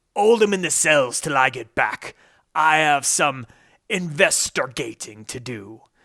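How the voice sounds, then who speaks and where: A man's put-on character voice, fairly high and menacing in tone, at a fairly slow pace, in a very clean recording with a silent background. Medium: read story.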